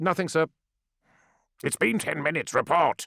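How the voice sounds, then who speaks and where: Using a put-on character voice, a man talks at a moderate pace and a fairly high pitch, with a dry, close sound and no echo. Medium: read story. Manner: curt, commanding.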